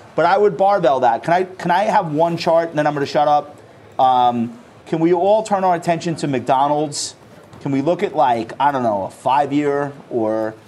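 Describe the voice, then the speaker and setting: Over noticeable background noise, a man talks at a fairly high pitch with lively intonation. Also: moderate pace. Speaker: wealth management CEO. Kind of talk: live TV interview.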